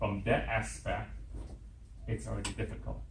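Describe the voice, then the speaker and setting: Through audible room echo, a man's voice shows vocal fry and very wide pitch swings. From Hong Kong. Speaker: conference workshop presenter. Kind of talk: workshop presentation.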